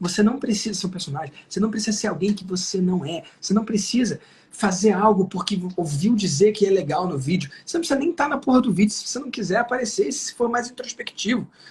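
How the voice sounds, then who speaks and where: Against noticeable background noise, a man speaks at a very fast pace in an animated tone. His pitch is high and his intonation lively. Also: hardly any pauses. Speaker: digital marketing entrepreneur. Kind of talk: live interview.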